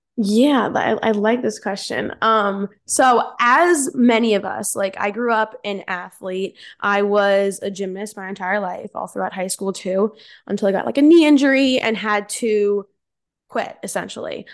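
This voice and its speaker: A woman with an American accent talks in a plain, everyday voice at medium pitch. Her pace is fairly slow over a quiet background. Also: ordinary pitch variation. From Central New Jersey. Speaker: amateur bikini competitor and coach. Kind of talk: casual chat.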